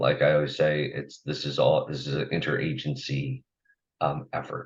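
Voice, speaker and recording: A man's very deep, low voice with vocal fry at a moderate pace. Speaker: agency staff presenter. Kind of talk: formal presentation at public meeting. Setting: public commission meeting. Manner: halting with fillers.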